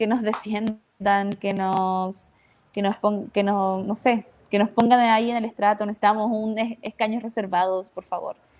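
Speaking at a fairly slow pace, a woman keeps her fairly high pitch monotone and flat. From northern Chile, Iquique. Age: 20s. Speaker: theatre director. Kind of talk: casual panel discussion.

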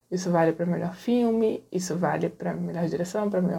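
Speaking at a fairly quick pace, a woman with a dark, mellow tone and vocal fry keeps her intonation fairly even. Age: 30s. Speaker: feminist film blogger. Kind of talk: recorded monologue.

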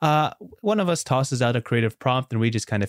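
A man talks at a fairly quick pace with ordinary pitch variation in an ordinary speaking voice. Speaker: podcast host. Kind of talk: casual chat. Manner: friendly, laughs often.

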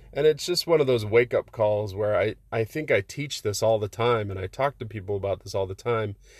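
The voice is somewhat breathy, moving at a fairly quick pace with hardly any pauses and ordinary pitch variation. The background is quiet, and the sound is dry and close with no echo. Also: man, fairly low pitch for a man. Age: 30s. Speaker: marriage coach and podcast host. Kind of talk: motivational monologue.

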